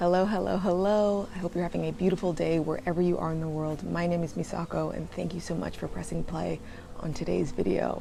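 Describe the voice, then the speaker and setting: With audible room echo, a woman speaks at a fairly quick pace. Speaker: travel and lifestyle vlogger. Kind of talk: casual personal vlog monologue. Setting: at a friend's beach home.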